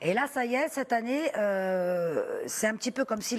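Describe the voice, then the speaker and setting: A woman is speaking. Her pitch sits fairly high. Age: 60s. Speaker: psychic. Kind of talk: live TV call-in psychic reading. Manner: animated.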